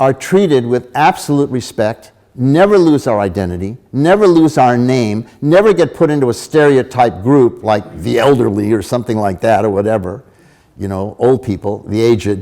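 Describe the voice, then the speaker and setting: A man talks at a moderate pace with an American accent and lively intonation. His medium pitch carries a dark, mellow tone. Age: 80s+. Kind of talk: lecture. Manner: animated.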